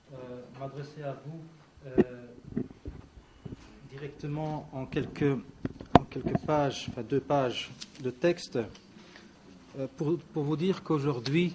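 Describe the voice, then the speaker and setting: A man at fairly high pitch, very slow with long, frequent pauses, fairly even intonation, big swings in loudness, and noticeable background noise. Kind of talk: press conference statement. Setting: press conference. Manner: hesitant, many fillers.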